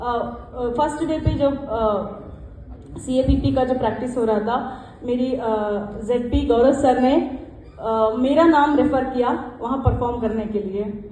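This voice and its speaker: Over noticeable background noise and audible room echo, a woman talks with a high pitch and fairly even intonation. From South India, Karnataka (Mysore district). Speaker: club member, one-day national president. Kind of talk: acceptance speech. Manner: halting, with many fillers.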